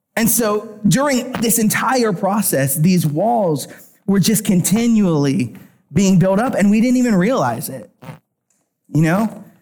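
Speaking at a fairly slow pace, a man with an American accent has a high voice, an animated tone and lively intonation. Audible room echo surrounds him. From Pennsylvania. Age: 30s. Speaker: worship pastor. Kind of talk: sermon.

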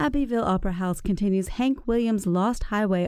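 Speaking at a fairly quick clip in an American accent, a woman with a medium-pitched voice and a dark, mellow tone is heard on a very clean recording with a silent background. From South Carolina Upstate. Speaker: podcast host. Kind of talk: interview; scripted announcements.

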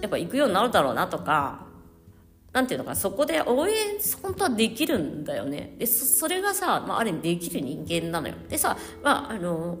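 Talking fairly quickly, a woman is heard against noticeable background noise. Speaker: counselor. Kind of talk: casual solo podcast monologue. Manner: casual, rambling with fillers.

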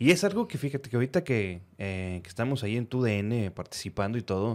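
An ordinary speaking voice at a moderate pace with lively intonation. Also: man. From northern Mexico, Reynosa, Tamaulipas. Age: 30s. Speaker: podcast host. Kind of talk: casual chat.

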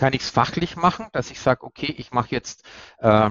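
A man of medium pitch talks very fast with ordinary pitch variation. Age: 50s. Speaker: corporate PR head, former newspaper journalist. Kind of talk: interview.

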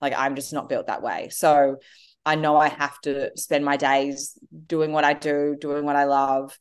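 A woman speaks in an Australian accent with a very deep, low pitch. Her intonation is monotone and flat. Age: 30s. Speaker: entrepreneur and author. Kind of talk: interview.

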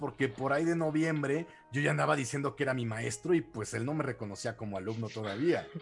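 Music plays in the background as a man with a fairly high pitch rushes along at a very fast pace, his pitch moving in ordinary ways. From Mexico City. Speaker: martial arts instructor and radio host. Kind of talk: casual chat.

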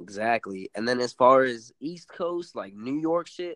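A man with an American accent speaks at medium pitch and a moderate pace in an unremarkable speaking voice. His intonation is lively, and the sound is dry and close with no echo. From San Antonio, Texas (west side). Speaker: rapper. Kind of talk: interview.

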